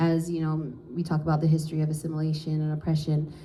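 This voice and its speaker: The voice has a dark, mellow tone and is somewhat breathy. It moves at a fairly quick pace, with audible room echo. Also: woman. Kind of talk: panel talk. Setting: live panel at an office with audience.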